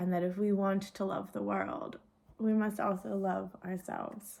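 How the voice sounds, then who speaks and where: At a fairly slow pace, a woman with a Vermont accent speaks with fairly even intonation. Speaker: nature and spirituality video host. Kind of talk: solo talk to camera. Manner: informal, with fillers and repeats.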